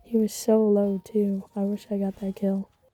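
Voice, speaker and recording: A woman speaks at a medium pitch in a flat monotone. Noticeable background noise runs under her voice. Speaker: gaming youtuber. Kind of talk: gameplay commentary voiceover. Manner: stuttering at times. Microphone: quiet voice, game audio loud over it.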